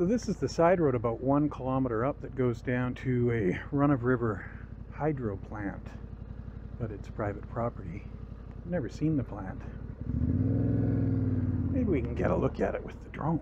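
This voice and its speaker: A man at a moderate pace with ordinary pitch variation and long, frequent pauses, in a dry sound with no echo, over noticeable background noise. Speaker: motorcycle rider vlogger. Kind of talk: casual vlog commentary. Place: motorbike. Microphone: helmet.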